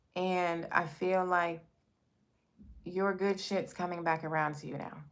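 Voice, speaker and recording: Recorded with audible room echo, a woman speaks in a fairly low pitch with monotone, flat intonation. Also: fairly slow pace. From New York, Brooklyn. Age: 40s. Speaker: tarot reader. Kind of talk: live stream tarot reading, casual chat. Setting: live stream. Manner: casual, chatty.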